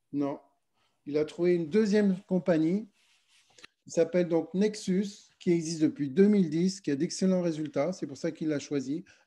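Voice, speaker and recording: A man's high-pitched voice with a dark, mellow tone, ordinary pitch variation, and long, frequent pauses. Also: moderate pace. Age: 50s. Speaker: MLM network leader. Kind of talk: sales pitch.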